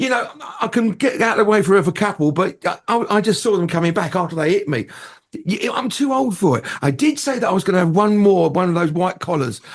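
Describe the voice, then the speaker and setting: With a southern English accent, a man talks at a high pitch and a fairly quick pace, his tone animated and his intonation lively, over noticeable background noise. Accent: southern English, London-area. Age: 60s. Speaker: entertainer and radio presenter. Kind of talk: casual chat.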